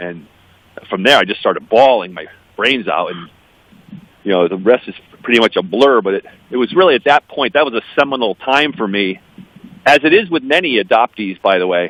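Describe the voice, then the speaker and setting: An American-accented man speaks at a fairly quick pace and medium pitch, with very wide pitch swings and long, frequent pauses. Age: 50s. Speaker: adoptee advocate, business executive. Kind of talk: radio interview.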